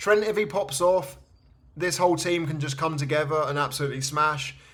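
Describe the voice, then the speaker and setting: A man talks at a fairly high pitch, his voice carrying audible room echo. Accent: English. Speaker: fantasy football card collector youtuber. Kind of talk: casual commentary while opening cards. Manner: fast; enthusiastic.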